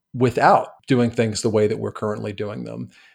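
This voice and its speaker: A very clean recording of a man's voice, the background silent. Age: 40s. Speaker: nonprofit executive. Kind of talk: interview. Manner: halting with fillers.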